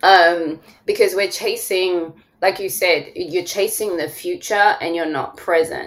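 A woman in a strong London accent at a very slow pace. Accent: London English, still strong. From London, England. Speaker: therapist and podcast host. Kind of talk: casual interview chat.

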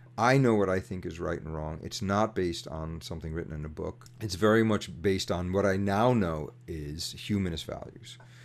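An unremarkable speaking voice from a man with a fairly low pitch. He talks at a moderate pace with ordinary pitch variation. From US, New York City. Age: 50s. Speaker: activist and mechanical engineer. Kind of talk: casual interview.

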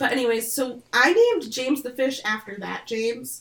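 With an Upper Midwest accent, a woman talks at a fairly high pitch with ordinary pitch variation. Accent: Upper Midwest American. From Michigan, US Midwest. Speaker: podcast co-host. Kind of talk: casual chat. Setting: video call. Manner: chatty.

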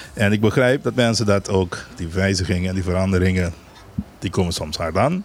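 Noticeable background noise sits behind a man with a very deep, low pitch. He talks at a fairly quick pace with ordinary pitch variation. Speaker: island governor. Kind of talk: radio interview.

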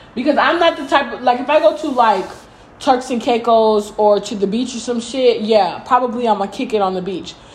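Over noticeable background noise, a woman speaks at a high pitch with ordinary pitch variation and big swings in loudness. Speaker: podcast co-host. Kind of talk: casual chat.

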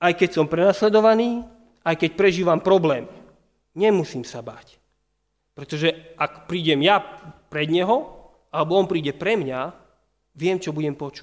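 A man's high-pitched voice at a moderate pace, with ordinary pitch variation and long, frequent pauses. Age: 30s. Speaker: pastor. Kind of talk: sermon.

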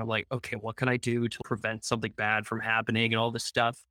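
Recorded very cleanly against a silent background, a man's bright, sharp tone comes through in a dry, close sound with no echo. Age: 20s. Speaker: singer-songwriter and producer. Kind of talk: casual interview chat.

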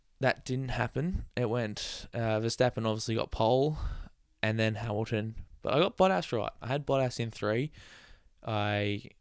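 This man has an Australian accent. His voice shows ordinary pitch variation. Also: very clean recording, silent background. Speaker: motorsport podcast host. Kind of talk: casual solo commentary.

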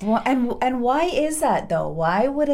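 Her dark, mellow tone and lively intonation carry an American accent as this woman speaks at a moderate pace amid audible room echo. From Oregon, US (small farm town). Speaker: podcast co-host. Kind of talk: casual chat. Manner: animated.

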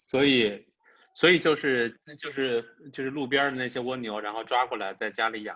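In a normal speaking voice, a man talks at a moderate pace and a medium pitch with fairly even intonation. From China, Wuhan. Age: middle-aged. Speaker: podcast co-host. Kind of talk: casual chat.

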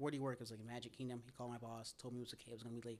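A man with an American accent speaks at a very fast pace and a medium pitch. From US South, Tennessee (outskirts of Nashville). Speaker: podcaster. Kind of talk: casual chat.

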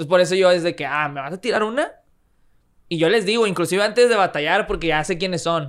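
In a very clean recording with a silent background, a high-pitched man with a Mexican accent talks at a very fast pace, animated in tone, with ordinary pitch variation. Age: 20s. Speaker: freestyle rapper and engineer. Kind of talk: casual chat.

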